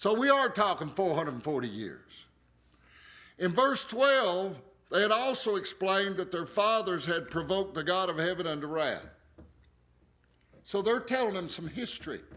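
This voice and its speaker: An American-accented man speaks in a raised, projected voice, high-pitched with a bright, sharp tone. His lively intonation comes at a moderate pace, broken by long, frequent pauses. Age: 60s. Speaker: pastor. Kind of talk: bible study teaching. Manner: casual, conversational.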